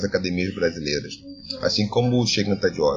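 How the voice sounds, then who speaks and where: A man speaks over noticeable background noise. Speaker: philosophy professor. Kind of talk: interview. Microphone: poor recording quality.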